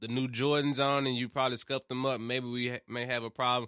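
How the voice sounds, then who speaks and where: Very fast delivery in a Memphis accent, with monotone, flat intonation. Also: man. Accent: Southern US, Memphis. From Memphis, Tennessee. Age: 20s. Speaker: podcast host. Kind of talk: casual chat.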